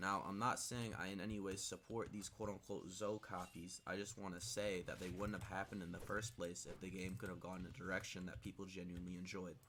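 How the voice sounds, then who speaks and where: Speaking very fast with hardly any pauses, a man uses a very deep, low pitch and fairly even intonation. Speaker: gaming YouTuber. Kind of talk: unscripted commentary. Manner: stuttering, filler-heavy.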